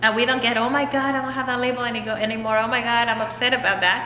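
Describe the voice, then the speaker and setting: Light background noise and audible room echo surround a woman speaking at a high pitch. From Mexico. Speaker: author and transformation coach. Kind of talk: casual interview chat. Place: hall.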